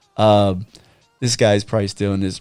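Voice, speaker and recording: Music can be heard behind the voice. The man's pace is moderate. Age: 40s. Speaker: podcast host. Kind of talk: casual chat.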